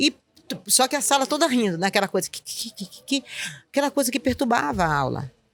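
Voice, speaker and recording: A woman with a northeastern Brazilian accent talks very fast with very wide pitch swings. The sound is dry and close, free of echo. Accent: northeastern Brazilian, kept after 20 years. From Northeast Brazil, Recife. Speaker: school principal. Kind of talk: interview conversation. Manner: calm; halting, many repetitions.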